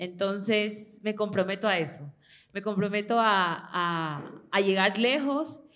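A woman with an unremarkable speaking voice, fairly high in pitch, with ordinary pitch variation. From Ecuador. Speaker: student and fan in live audience. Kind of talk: audience testimony at live event.

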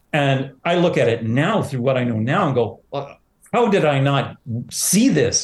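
This man has a Canadian accent and a fairly high, somewhat breathy voice. His intonation is lively. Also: fairly slow pace. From Southern Ontario. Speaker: pride organization president, teacher. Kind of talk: interview.

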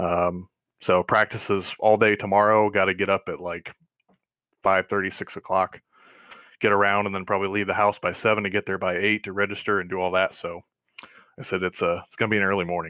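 A man with a Midwestern American accent, fairly low in pitch with a bright, sharp tone and flat, monotone intonation, fairly quick yet with long, frequent pauses, on a very clean recording with a silent background and a dry, close sound with no echo. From Northwest Ohio. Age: 20s. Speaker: sim racing league admin. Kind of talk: podcast interview.

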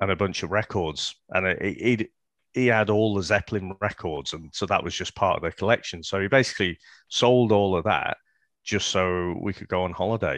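A fairly low-pitched man with a Liverpool accent, moderate pace and ordinary pitch variation, in a dry, close sound with no echo against a quiet background. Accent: Scouse. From Liverpool, England. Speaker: podcast co-host. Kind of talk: casual chat.

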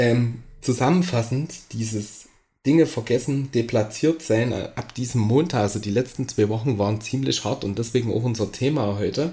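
A man speaks at a moderate pace in a medium pitch, with ordinary pitch variation. His tone is dark and mellow, and somewhat breathy. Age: 30s. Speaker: podcast host. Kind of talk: casual chat.

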